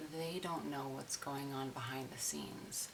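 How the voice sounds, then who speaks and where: Soft-spoken, a woman with a very deep, low voice talks at a fairly slow pace with fairly even intonation against noticeable background noise. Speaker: customer service worker. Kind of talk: ASMR soft-spoken chat. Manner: soft-spoken, slow.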